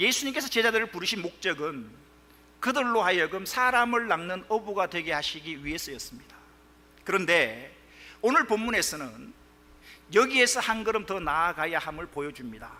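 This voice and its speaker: A man uses a raised, projected voice at a high pitch. He speaks at a moderate pace with very wide pitch swings. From Gyeongsang region, South Korea. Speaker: pastor. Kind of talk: sermon.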